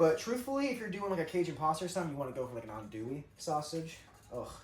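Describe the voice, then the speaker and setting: Very fast speech in an American accent, with noticeable background noise. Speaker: vlogger cooking at home. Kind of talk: casual chat.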